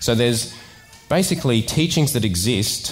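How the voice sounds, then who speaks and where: A man is speaking. Faint music plays in the background. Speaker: preacher. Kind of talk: sermon. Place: church. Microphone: headset.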